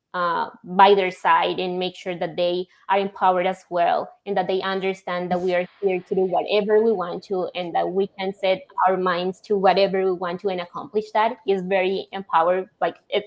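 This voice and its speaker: A woman speaks at a moderate pace with hardly any pauses. Her medium-pitched voice has a monotone, flat intonation. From Colombia. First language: Spanish. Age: young. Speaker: logistics software executive. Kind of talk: podcast interview.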